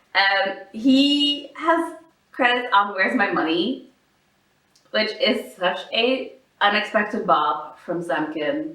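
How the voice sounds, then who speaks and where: A woman speaks at a very slow pace, her pitch swinging very widely. Audible room echo surrounds her voice. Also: fairly high pitch for a woman. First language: not English. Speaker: podcast co-host. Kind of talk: casual chat.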